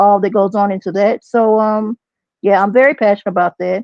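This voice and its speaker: A woman with a fairly high pitch speaks in a Texas accent. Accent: country Texas. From Texas (partly San Antonio). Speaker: substitute teacher, podcast guest. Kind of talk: casual interview.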